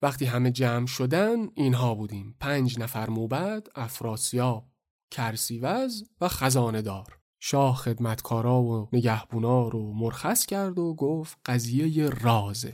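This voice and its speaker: A man speaks at a very slow pace with ordinary pitch variation in a very clean recording with a silent background. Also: medium pitch for a man. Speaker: storyteller podcast host. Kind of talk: dramatized storytelling. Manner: animated.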